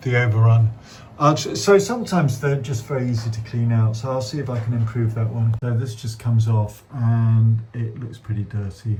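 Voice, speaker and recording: The speaker has a British accent and talks at a moderate pace. The intonation is fairly even. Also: man, medium pitch for a man. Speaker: damp surveyor. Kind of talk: on-site survey walkthrough with client.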